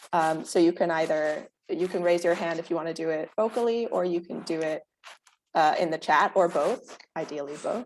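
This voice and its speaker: A woman talks at a moderate pace, her pitch fairly low and varying in an ordinary way. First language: Dutch. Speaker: workshop moderator, museum researcher. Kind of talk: workshop moderation.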